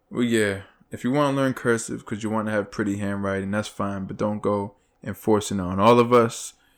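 An unremarkable speaking voice, this man's is fairly low in pitch, with fairly even intonation at a fairly quick pace. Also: very clean recording, silent background. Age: 30s. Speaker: podcast co-host. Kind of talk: casual chat.

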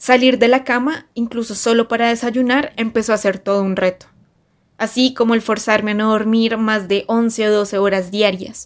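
A woman with an unremarkable speaking voice talks at a moderate pace in a fairly high pitch, her intonation fairly even. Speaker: journalist. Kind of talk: personal essay read aloud.

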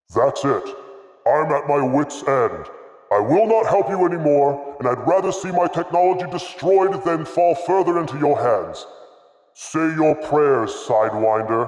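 Booming in a put-on character voice, a man speaks at a moderate pace and a fairly high pitch, with a clear echo. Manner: exasperated, threatening.

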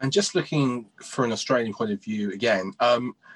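Against a quiet background, a man speaks with a plain, everyday voice at medium pitch and lively intonation. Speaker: betting show host. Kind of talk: interview chat.

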